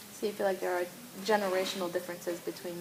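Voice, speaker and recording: In a room with audible echo and noticeable background noise, a woman with a fairly low voice talks very fast in a monotone, flat intonation. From New York, US. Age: 20s. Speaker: counseling student. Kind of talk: role-play counseling session.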